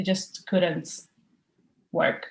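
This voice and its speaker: Somewhat breathy and fairly slow, a woman speaks at a medium pitch with a Portuguese accent. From Portugal. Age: 20s. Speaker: university student, client. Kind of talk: interview.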